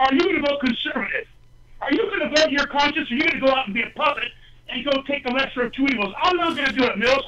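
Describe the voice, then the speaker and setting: Shouting loudly in an extremely high voice, a man sounds passionate and animated, with ordinary pitch variation. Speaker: political candidate. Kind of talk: call-in talk radio debate. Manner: loud, yelling; passionate, animated.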